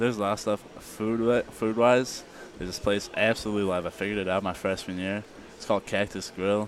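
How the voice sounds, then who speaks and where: Noticeable background noise sits behind this recording. A man with an American accent talks at a fairly quick pace. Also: fairly low pitch for a man. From Illinois, US Midwest. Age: young. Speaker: college football player. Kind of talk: interview. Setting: media day event. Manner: animated.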